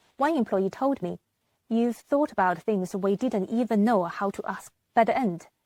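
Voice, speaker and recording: In a very clean recording with a silent background and a dry, close sound with no echo, a woman speaks at a moderate pace with ordinary pitch variation. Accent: non-native. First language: not English. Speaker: business manager and vlogger. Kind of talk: motivational talk.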